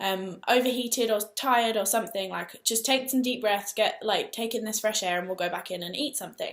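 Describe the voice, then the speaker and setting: A woman with an English accent at a fairly high pitch and fairly quick pace, with ordinary pitch variation. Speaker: vlogger. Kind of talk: personal vlog storytelling. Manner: fast.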